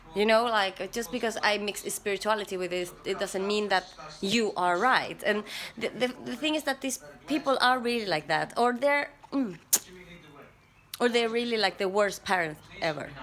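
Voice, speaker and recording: A woman with a fairly high pitch speaks at a moderate pace with lively intonation. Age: 30s. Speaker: vlogger. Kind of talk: personal vlog monologue. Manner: halting, with frequent repetitions.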